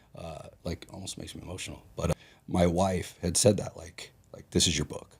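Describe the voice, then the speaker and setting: A somewhat breathy man with a very deep, low pitch talks at a fairly quick pace, his intonation fairly even but his loudness swinging widely. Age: 40s. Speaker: business executive. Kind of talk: casual chat.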